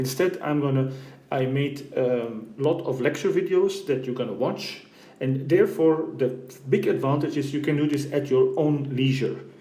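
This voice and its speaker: A man speaks at a fairly high pitch with ordinary pitch variation. Room echo is audible, and background noise is noticeable. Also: moderate pace. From Belgium (Flanders). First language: Flemish Dutch. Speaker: university professor. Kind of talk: lecture. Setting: recorded lecture video.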